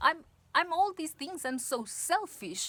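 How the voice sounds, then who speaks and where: A woman speaks at a fairly slow pace in a bright, sharp tone. Her pitch swings very widely. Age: 30s. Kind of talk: casual talk to camera. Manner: improvised, hesitant.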